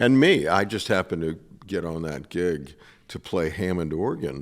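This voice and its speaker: With vocal fry and a very deep, low pitch, a man talks at a moderate pace with ordinary pitch variation on a very clean recording with a silent background. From Rhode Island. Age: 70s. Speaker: singer-songwriter and session musician. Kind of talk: radio interview. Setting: radio studio stage.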